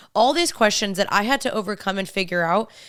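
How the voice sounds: A woman speaks at a fast pace with lively intonation and a fairly bright tone. The recording is very clean, with a silent background. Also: medium pitch for a woman.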